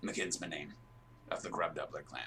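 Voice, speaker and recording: At a moderate pace, a man performs a put-on character voice over clear background noise. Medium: actual play. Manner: blunt, gruff, short sentences.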